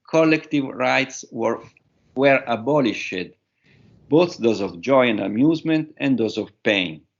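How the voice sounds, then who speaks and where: Using lively intonation and some vocal fry, a man with an Italian accent speaks at medium pitch and a fairly slow pace. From Italy. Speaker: professor. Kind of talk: conference talk. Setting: webinar. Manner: halting.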